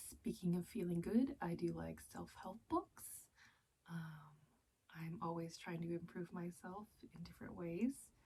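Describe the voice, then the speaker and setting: Soft-spoken and fairly slow, a woman's voice shows big swings in loudness. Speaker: book youtuber. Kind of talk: casual vlog monologue. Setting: closet floor at night.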